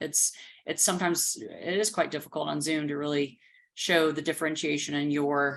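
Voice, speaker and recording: A woman with an American accent speaks at a fairly quick pace in a very deep, low voice, her intonation fairly even over a quiet background. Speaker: recruiting and HR executive. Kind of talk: interview answer.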